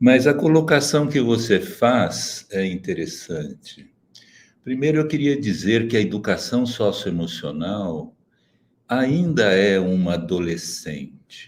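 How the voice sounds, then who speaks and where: The pace is very slow, with very wide pitch swings. Vocal fry runs through the voice. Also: man, medium pitch for a man. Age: 70s. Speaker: socio-emotional education expert. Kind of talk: webinar panel talk. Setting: online webinar. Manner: measured, formal.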